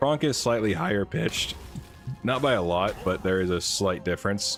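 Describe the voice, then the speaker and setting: Music plays in the background. A man speaks at a moderate pace with a very deep, low pitch. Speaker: voice impressionist.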